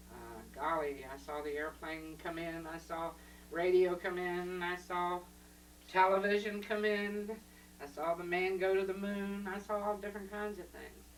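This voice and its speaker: Her voice carries noticeable background noise and audible room echo. The woman talks at a moderate pace. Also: fairly low pitch for a woman, fairly even intonation, big swings in loudness. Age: 60s. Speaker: grandmother being interviewed. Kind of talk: casual family interview. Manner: conversational, reminiscing.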